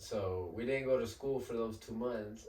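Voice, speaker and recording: The man has an unremarkable speaking voice, medium in pitch with fairly even intonation. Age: 20s. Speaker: Spanish-language musician. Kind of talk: casual chat.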